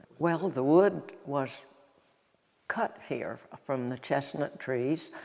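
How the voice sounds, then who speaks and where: A woman with an Appalachian accent and ordinary pitch variation. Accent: Appalachian Southern US. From North Carolina, Ashe County. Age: 90s. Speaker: local elder. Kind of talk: oral history interview. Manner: halting.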